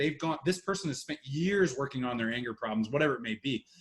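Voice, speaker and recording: His voice sits fairly high. The man rattles along at a very fast pace. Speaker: war veteran. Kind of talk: interview.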